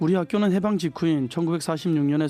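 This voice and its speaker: A man with a Gangwon accent and ordinary pitch variation, music in the background. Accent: Gangneung dialect. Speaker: schoolteacher. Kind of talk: reading a personal essay on radio. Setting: live radio studio broadcast.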